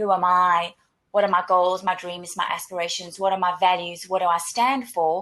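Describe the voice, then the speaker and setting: Speaking with a South African accent, a woman moves at a fairly quick pace at medium pitch with monotone, flat intonation. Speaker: career coach / webinar co-host. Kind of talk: webinar presentation. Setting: online webinar. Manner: repetitive restarts, stammering on words.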